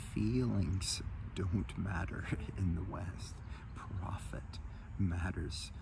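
A man speaks at a very slow pace with vocal fry. The sound is dry with no echo, but there is noticeable background noise. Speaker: health coach. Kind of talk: guided meditation and talk on energy work. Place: garden. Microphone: phone near.

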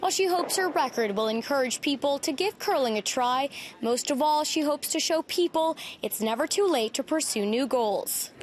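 A woman speaks at a high pitch with lively intonation and a fairly quick pace. Her loudness stays very even, and there is noticeable background noise. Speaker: news reporter. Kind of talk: TV news report.

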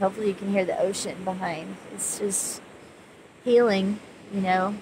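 A woman speaks at a fairly slow pace in a monotone, flat intonation. The sound is dry with no echo, with noticeable background noise. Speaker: spiritual counselor vlogger. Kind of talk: casual vlog chat. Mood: calm, gentle, reflective. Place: beach. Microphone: phone near.

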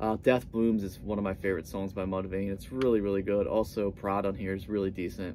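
At a moderate pace, a man talks in a plain, everyday voice over light background noise. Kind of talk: casual vlog chat. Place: home room. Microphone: phone near.

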